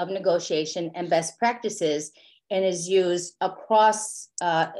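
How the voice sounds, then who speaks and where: In an ordinary speaking voice, a woman talks at a moderate pace and medium pitch. Her intonation is fairly even, and the background is quiet. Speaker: clinical social worker presenter. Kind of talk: professional webinar presentation.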